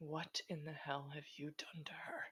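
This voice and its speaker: Using a put-on, growling character voice, a woman speaks at a moderate pace with a very deep, low pitch. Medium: read story. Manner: low, muttered.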